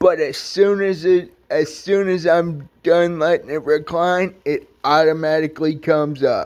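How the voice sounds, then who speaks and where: A fairly high-pitched man's voice at a very slow pace with fairly even intonation. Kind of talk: casual rant vlog. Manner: high-pitched from irritation; halting, self-correcting.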